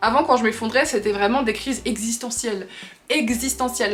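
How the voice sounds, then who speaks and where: Over music in the background, a woman talks fairly quickly at a fairly high pitch with ordinary pitch variation. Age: 20s. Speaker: lifestyle vlogger. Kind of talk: casual chat. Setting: facecam video. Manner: fast.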